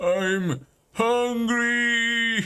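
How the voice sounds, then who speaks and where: Loud and growling, this put-on character voice sits at a fairly high pitch. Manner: loud, growling.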